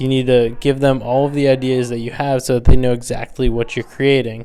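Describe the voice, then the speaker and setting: Noticeable background noise runs under this recording. A man talks at a moderate pace. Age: 20s. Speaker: photographer and videographer vlogger. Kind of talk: casual solo podcast monologue. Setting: rooftop pod at night. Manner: hesitant with fillers and repeats.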